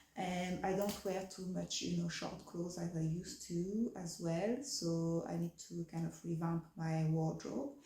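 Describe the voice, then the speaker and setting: Speaking fairly slowly with hardly any pauses, a woman with a French accent uses a fairly low pitch. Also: ordinary pitch variation. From France. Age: 30s. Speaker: fashion vlogger. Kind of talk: casual vlog chat. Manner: hesitant, many fillers.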